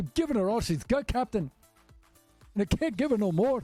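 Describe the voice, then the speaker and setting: A strained, put-on character voice in a Scottish accent moves at a fairly quick pace with very wide pitch swings. Music plays behind the dry, close sound, which has no echo. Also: man, high pitch for a man. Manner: bad impression, strained, urgent.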